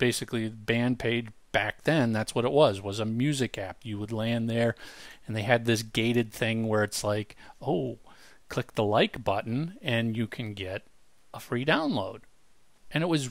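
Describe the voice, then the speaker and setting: A man's voice, with ordinary pitch variation, comes through as a dry sound with no echo over a quiet background. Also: moderate pace. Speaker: podcast co-host. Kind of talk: podcast discussion. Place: home room. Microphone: headset.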